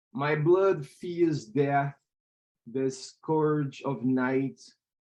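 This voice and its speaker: A man with a Portuguese accent talks at a very slow pace. His pitch is fairly high, with ordinary variation. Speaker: poet. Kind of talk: poetry reading.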